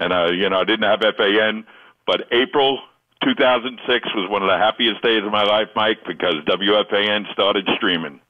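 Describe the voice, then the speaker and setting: A man with a plain, everyday voice, fairly low pitch, ordinary pitch variation, moderate pace and very even loudness. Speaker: caller. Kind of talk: call-in radio chat. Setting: phone call.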